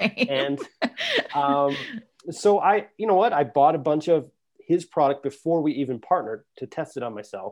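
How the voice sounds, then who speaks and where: Here a man speaks at a fairly high pitch with lively intonation. His pace is moderate. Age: 30s. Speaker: health engineer and gut health company founder. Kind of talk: casual chat.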